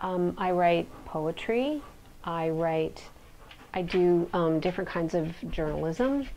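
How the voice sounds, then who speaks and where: A woman at a very slow pace and fairly low pitch, dark and mellow in tone with ordinary pitch variation. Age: 50s. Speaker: poet. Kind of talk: interview.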